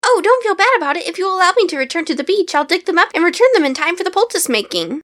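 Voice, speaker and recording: Doing a put-on character voice, a woman talks at a very fast pace, squeaky and extremely high in pitch. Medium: read story. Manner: polite, chatty.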